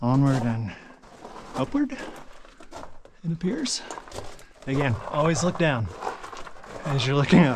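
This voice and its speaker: A man's fairly high voice with ordinary pitch variation, a very slow pace, long, frequent pauses, and noticeable background noise. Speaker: hiker and mine explorer vlogger. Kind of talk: solo vlog narration while exploring. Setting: inside a mine. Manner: casual, hesitant with fillers.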